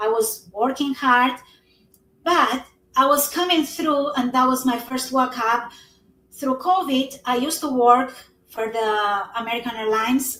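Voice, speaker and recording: At a fairly slow pace, a woman speaks with a bright, sharp tone at a high pitch and ordinary pitch variation. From Albania. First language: Albanian. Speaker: network marketing entrepreneur. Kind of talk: live stream interview. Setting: live stream.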